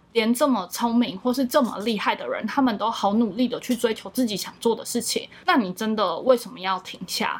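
A woman with a normal speaking voice at a fairly high pitch speaks at a fairly quick pace with hardly any pauses, ordinary pitch variation and big swings in loudness. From Matsu, Taiwan. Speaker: YouTuber and content creator. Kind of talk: casual interview.

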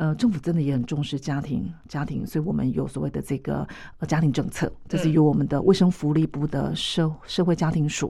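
A woman speaks fairly quickly in a very deep, low pitch with a dark, mellow tone and vocal fry. Her pitch varies in an ordinary way. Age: 50s. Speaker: mental health association vice-chair. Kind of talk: radio interview.

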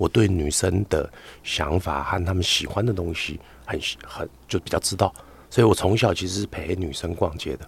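At a moderate pace, a man with a very deep, low pitch speaks somewhat breathily with ordinary pitch variation. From Taiwan, Hakka. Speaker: doctor and content creator. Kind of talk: casual chat interview. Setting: studio with headphones.

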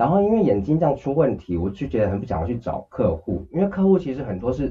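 A man's somewhat breathy voice at a very fast pace, with very wide pitch swings. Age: 30s. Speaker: cancer patient. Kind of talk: interview. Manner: talks freely and at length.

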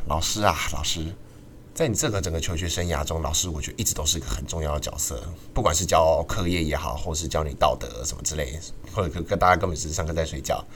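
A man speaks very fast with a Taiwanese accent, and there is audible echo in the room. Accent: Taiwanese Mandarin. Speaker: student podcast host. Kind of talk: casual chat.

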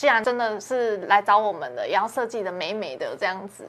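A woman speaks with a bright, sharp tone. Her pitch is fairly high, with ordinary pitch variation. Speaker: interior designer, studio head. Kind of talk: podcast interview. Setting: live online show.

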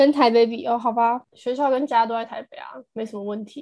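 A normal speaking voice at a fairly quick pace. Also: woman. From Taiwan, Taipei. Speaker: podcast co-host, university student. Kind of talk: casual chat. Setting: remote recording.

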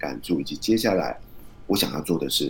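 Very deep and low, a man's voice carries vocal fry at a very fast pace. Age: 40s. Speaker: author and podcaster. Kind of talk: interview.

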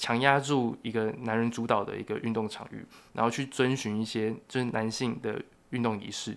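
In a very clean recording with a silent background, a man speaks at a medium pitch and a moderate pace in a flat monotone. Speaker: journalism and sociology student. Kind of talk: casual interview.

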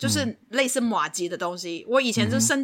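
This woman's tone is bright and sharp. Her voice carries vocal fry. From Hong Kong. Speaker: podcast co-host. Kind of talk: casual chat. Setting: remote recording. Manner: animated, laughs loudly.

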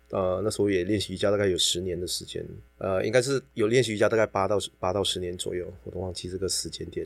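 A fairly low-pitched man at a very fast pace, on a very clean recording with a silent background. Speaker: yoga teacher and fitness trainer. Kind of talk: casual chat. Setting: recording studio. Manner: animated, with laughter.

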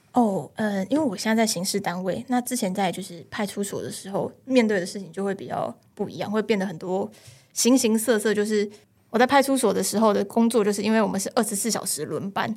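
In a very clean recording with a silent background, a woman with an unremarkable speaking voice talks fairly quickly at a medium pitch, with ordinary pitch variation. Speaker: police officer. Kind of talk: casual chat.

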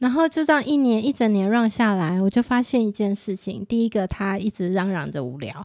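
Her pitch is fairly high and swings very widely. The woman talks at a fairly quick pace. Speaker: parent and nonprofit association board member. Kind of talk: casual chat.

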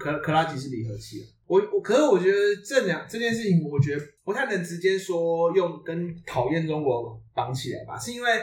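A high-pitched man's voice with big swings in loudness and audible room echo. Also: lively intonation, fairly quick pace. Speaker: podcast host. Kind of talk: casual chat.

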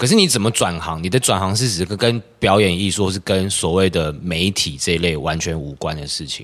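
A man's very deep, low voice at a moderate pace, with ordinary pitch variation and hardly any pauses. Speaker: theatre practitioner. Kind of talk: casual chat.

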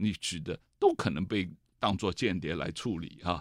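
A man talks at a fairly slow pace. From mainland China. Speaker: author and TV host, political commentator. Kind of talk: interview. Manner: hesitant, many fillers.

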